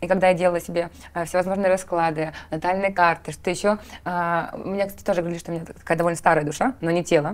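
A woman's fairly low voice at a very fast pace in a monotone, flat intonation. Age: 30s. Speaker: interviewer. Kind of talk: interview. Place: studio.

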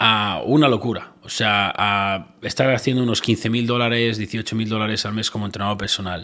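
A man with a Spanish accent talks at a moderate pace in a medium-pitched voice. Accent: Peninsular Spanish. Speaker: entrepreneur. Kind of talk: interview chat.

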